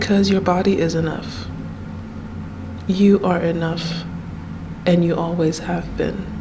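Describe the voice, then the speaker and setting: With audible room echo and noticeable background noise, a woman speaks at a fairly slow pace in a fairly low pitch with fairly even intonation. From Nigeria. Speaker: YouTuber. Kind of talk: personal vlog monologue. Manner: halting, repeats words.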